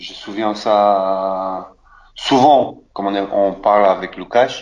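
A man with a Polish accent speaks at medium pitch. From Poland. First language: Polish (speaking French). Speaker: former footballer. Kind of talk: interview. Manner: halting.

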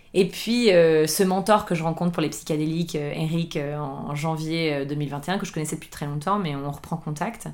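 Hardly pausing at all, a woman speaks in a very deep, low voice. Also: ordinary pitch variation, fairly slow pace. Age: 30s. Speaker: chef and table d'hôte host. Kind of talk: casual interview conversation. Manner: halting, frequent repetitions.

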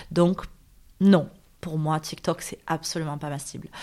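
A woman speaks with fairly even intonation in a very clean recording with a silent background. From Marseille, southern France (northern districts). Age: 40s. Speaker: blogger and entrepreneur. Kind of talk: interview conversation. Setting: apartment in Marseille.

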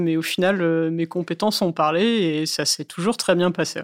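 In a very clean recording with a silent background and a dry, close sound with no echo, a woman uses an ordinary speaking voice with a fairly low pitch and ordinary pitch variation. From northern France, Valenciennes. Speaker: cloud security officer. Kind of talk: interview.

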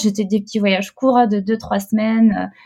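A woman speaks at a moderate pace, her fairly high pitch paired with a dark, mellow tone. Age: 30s. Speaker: mother and entrepreneur. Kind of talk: casual interview chat. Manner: hesitant, many fillers.

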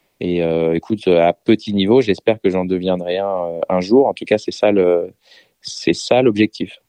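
The man's pitch is very deep and low. His intonation remains fairly even. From France. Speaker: DJ and music producer. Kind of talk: interview.

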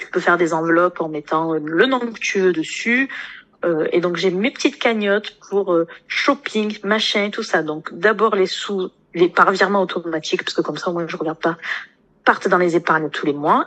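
A plain, everyday voice at a moderate pace with ordinary pitch variation. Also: woman. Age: 20s. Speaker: nurse and coaching client. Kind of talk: interview testimony.

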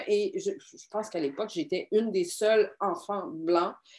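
Speaking at a moderate pace in a Quebec accent, a woman lets her pitch swing very widely. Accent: Québécois French. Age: 40s. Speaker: documentary filmmaker and explorer. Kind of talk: interview.

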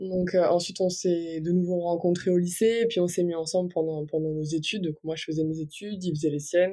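Speaking at a fairly quick pace, a woman has a dark, mellow tone and fairly even intonation. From Brittany, near Brest. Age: 20s. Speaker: lawyer. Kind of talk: interview.

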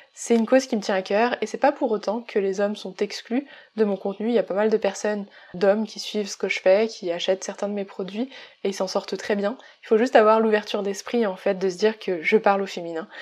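Here a woman talks at a fairly quick pace and a medium pitch, with fairly even intonation. It is an unremarkable speaking voice. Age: 20s. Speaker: business coach and podcaster. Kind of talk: solo podcast monologue.

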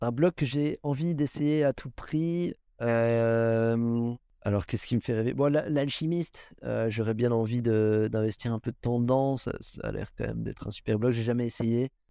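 Dark and mellow in tone, a man's voice sits at medium pitch with ordinary pitch variation. He talks at a fairly slow pace on a very clean recording with a silent background. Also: dry, close sound with no echo. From Belgium. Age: 20s. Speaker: professional rock climber. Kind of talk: interview. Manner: halting.

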